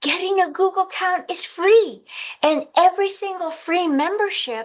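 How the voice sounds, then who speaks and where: The woman's delivery moves at a fairly slow pace. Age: 70s. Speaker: organization secretary giving training. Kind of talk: training presentation.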